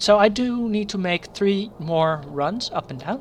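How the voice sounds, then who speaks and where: A woman with a Dutch accent speaks at a medium pitch and fairly slow pace. Her intonation is lively. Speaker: gaming streamer. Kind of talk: live gameplay commentary. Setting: live stream.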